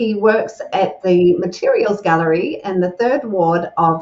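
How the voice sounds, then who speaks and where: Over background music, a woman with a New Zealand accent speaks fairly slowly, her pitch swinging very widely. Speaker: podcast host, communications coach. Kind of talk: interview.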